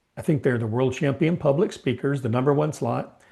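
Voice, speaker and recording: Somewhat breathy, a man speaks with ordinary pitch variation in a quiet background. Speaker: Toastmasters member. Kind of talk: workshop comment.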